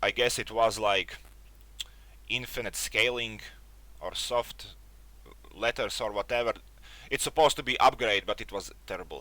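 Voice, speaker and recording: The pace here is moderate. The speaker is a man. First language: not English. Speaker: tech youtuber. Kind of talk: casual review monologue. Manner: halting, searches for words.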